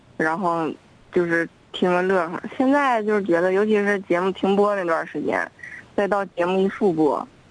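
Speaking at a moderate pace, a woman uses medium pitch with ordinary pitch variation. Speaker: radio show caller, longtime listener. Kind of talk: casual phone chat.

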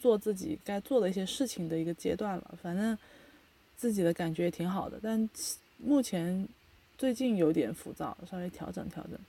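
A woman speaks at a moderate pace in a medium pitch, her dark, mellow tone somewhat breathy, with lively intonation and big swings in loudness. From China. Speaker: podcast host. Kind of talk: casual chat.

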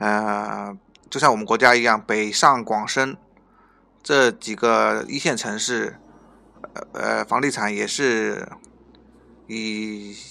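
A man with fairly low pitch and a bright, sharp tone speaks at a very slow pace. His pitch varies in an ordinary way, broken by long, frequent pauses. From Northeast China. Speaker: podcast host at an immigration consultancy. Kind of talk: informational podcast monologue. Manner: hesitant, frequent filler sounds and repetitions.

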